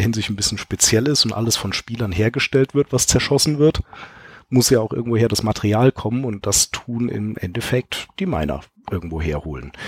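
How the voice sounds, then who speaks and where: Somewhat breathy and fairly quick, the voice has lively intonation in a dry, close recording with no echo. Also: man. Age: 30s. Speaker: software entrepreneur and experienced gamer. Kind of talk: casual chat. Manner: explanatory.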